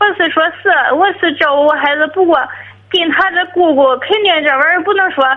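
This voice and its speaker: A woman's extremely high voice, fairly quick pace, and ordinary pitch variation. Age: 30s. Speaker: caller. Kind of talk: call-in advice conversation. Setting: phone call. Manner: halting.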